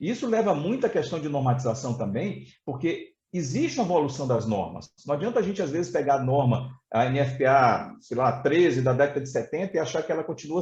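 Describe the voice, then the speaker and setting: Fairly quick and lively, a man talks at a fairly high pitch. His voice is somewhat breathy. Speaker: fire safety expert, fire brigade colonel and instructor. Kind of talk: technical presentation in a webinar. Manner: fast; hesitant fillers (é, tá).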